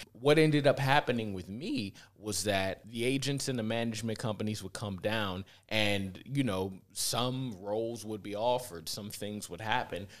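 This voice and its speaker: A man with an American accent and an ordinary speaking voice, fairly low in pitch, at a moderate pace with ordinary pitch variation, in a very clean recording with a silent background. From US Midwest, inner-city Cleveland, Ohio. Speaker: filmmaker and actor. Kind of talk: casual interview. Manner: relaxed, filler-heavy.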